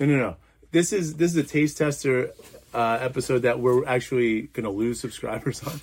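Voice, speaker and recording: Medium-pitched male voice at a fairly quick pace with ordinary pitch variation. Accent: American. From New Jersey. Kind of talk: casual chat. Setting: studio.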